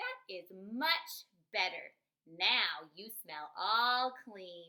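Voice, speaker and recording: Using a put-on character voice, a woman speaks at a medium pitch. Her pace is very slow. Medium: read story.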